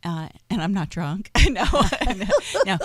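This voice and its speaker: The tone is animated. The voice is loud. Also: woman. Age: 50s. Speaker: online radio talk show host. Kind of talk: casual chat.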